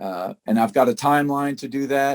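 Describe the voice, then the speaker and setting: At a fairly slow pace, a man speaks in an ordinary speaking voice, his pitch medium. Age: 60s. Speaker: appliance service business owner. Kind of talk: casual presentation on a video call. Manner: conversational with many filler words.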